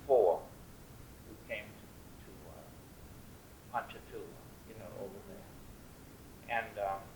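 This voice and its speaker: A man talks fairly slowly, and audible room echo can be heard around him. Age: 80s+. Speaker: oral history interviewee. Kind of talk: oral history interview. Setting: at home. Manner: halting.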